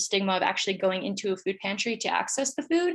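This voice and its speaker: This woman talks at a medium pitch. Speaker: student pitching a food pantry project. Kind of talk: pitch presentation with Q&A. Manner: fast.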